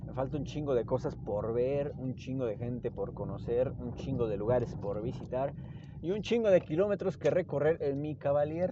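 A man at a moderate pace, lively in intonation, with noticeable background noise. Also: medium pitch for a man. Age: 20s. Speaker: podcaster and doctor. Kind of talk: casual monologue. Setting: in a car. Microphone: hands-free phone mic.

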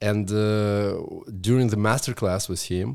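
Recorded very cleanly against a silent background, the voice has a Russian accent, fairly even intonation and a fairly slow pace. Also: man. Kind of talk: casual interview chat.

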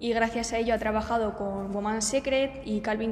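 Audible room echo surrounds a woman who speaks at a moderate pace. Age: 20s. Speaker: marketing student, podcast co-host. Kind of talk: casual chat.

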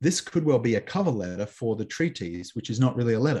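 A man with an Australian accent speaks at a medium pitch in a dark, mellow, somewhat breathy tone over a quiet background. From Australia (Canberra). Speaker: New Testament scholar. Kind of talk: interview on biblical studies. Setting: remote call.

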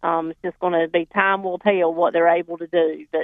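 Speaking at a fairly quick pace, a woman with a North Carolina accent has a medium pitch. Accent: Southern, Johnston County. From North Carolina, Johnston County. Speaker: farmers market representative. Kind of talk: phone-in chat.

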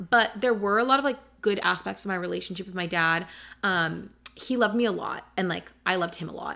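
At a fairly quick pace, a woman with an American accent talks at a medium pitch with a bright, sharp tone, vocal fry, and ordinary pitch variation. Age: 20s. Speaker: podcast co-host. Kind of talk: casual chat. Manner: fast.

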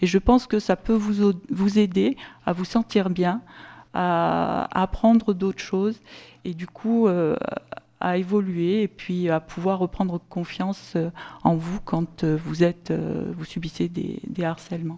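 A woman talks at a very slow pace with a medium pitch and fairly even intonation. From southern France, Sommières (Gard). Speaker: local official. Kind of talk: conference talk.

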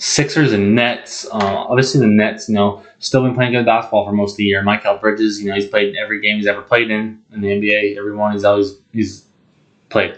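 Fairly quick and monotone, with flat intonation, a man with an American accent speaks at a fairly low pitch. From Montana. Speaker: sports podcast host. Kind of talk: casual monologue. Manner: halting, many ums.

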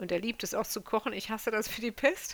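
On a very clean recording with a silent background, a woman speaks at a moderate pace in a bright, sharp tone with ordinary pitch variation. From Germany. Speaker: mother, interviewee. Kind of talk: interview.

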